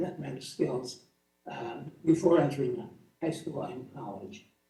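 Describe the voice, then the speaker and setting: Amid audible room echo, a man speaks fairly slowly at a fairly high pitch with lively intonation. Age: 90s. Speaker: award-winning alumnus. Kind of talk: acceptance speech.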